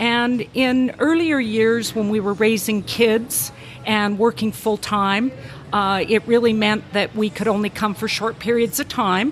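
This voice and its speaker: Against noticeable background noise, a woman with a Canadian accent speaks at a fairly high pitch and moderate pace, with ordinary pitch variation. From western Canada. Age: 60s. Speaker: retired university faculty member. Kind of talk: casual interview chat.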